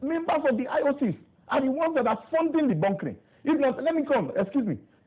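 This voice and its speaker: Over noticeable background noise, a man with an extremely high pitch talks at a very fast pace in an animated tone with ordinary pitch variation. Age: young. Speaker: youth council president, politician. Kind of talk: TV interview. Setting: TV studio.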